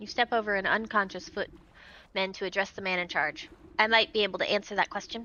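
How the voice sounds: A natural reading voice keeps fairly even intonation throughout.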